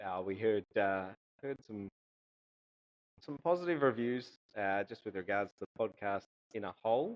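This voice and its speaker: With a strong Australian accent, a man speaks at a fairly low pitch with lively intonation and long, frequent pauses. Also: moderate pace. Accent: broad Australian. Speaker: golf coach and podcast co-host. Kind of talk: casual chat.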